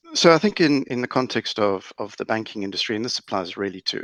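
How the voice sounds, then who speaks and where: A man with a South African accent at a fairly quick pace, over a quiet background. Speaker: lawyer in banking. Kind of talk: panel discussion. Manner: halting.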